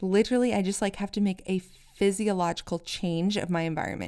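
With an American accent, a woman talks fairly quickly in a plain, everyday voice, her pitch fairly low and her intonation fairly even. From US. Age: 30s. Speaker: podcast host. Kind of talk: casual monologue.

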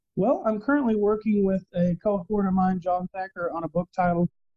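Speaking at a moderate pace, a man with a Texan accent has a high pitch. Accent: Texan American. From Texas. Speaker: operations manager and author. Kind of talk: interview.

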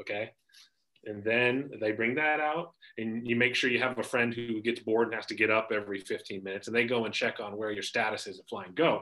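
A man with a Pacific Northwest accent, medium pitch and a bright, sharp tone, at a fairly quick pace with fairly even intonation and big swings in loudness. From US Pacific Northwest, Spokane, Washington. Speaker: financial advisor and podcaster. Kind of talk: casual interview chat.

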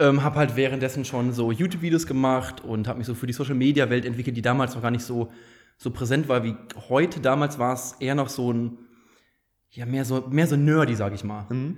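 This man has an unremarkable speaking voice at medium pitch. He talks at a fairly quick pace with fairly even intonation. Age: 20s. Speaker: startup founder and managing director. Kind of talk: casual chat.

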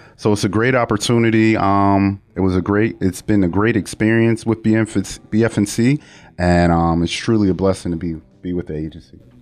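In an ordinary speaking voice, a man talks at a fairly low pitch and a fairly quick pace with fairly even intonation against a quiet background. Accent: American. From Buffalo, New York (east side). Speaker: youth services director. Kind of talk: podcast interview. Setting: studio.

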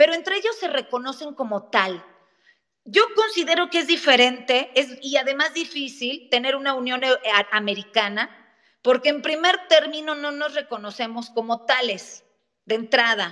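Delivered at a fairly slow pace, the voice has a bright, sharp tone and lively intonation. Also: woman. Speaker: lawyer and legal scholar. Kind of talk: interview on a live audio space. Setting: online audio room.

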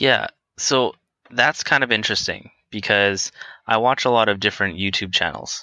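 A man with a plain, everyday voice talks at a moderate pace and medium pitch, his pitch varying in an ordinary way. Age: 20s. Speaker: podcast subject interviewed about his life. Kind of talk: casual interview. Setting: call.

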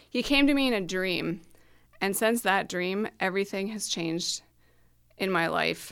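A woman with an Upper Midwest accent speaks at a moderate pace and medium pitch, with ordinary pitch variation and long, frequent pauses. The recording is very clean, with a silent background. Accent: Upper Midwest American. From small-town Minnesota. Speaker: astrology podcast co-host. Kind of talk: casual chat. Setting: home basement studio.

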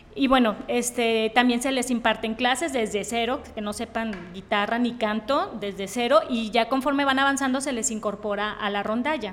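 Against noticeable background noise, a woman speaks at a fairly high pitch and a moderate pace. She hardly pauses, and her intonation stays fairly even. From Mexico, Tepic, Nayarit. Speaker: medical doctor. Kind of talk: interview.

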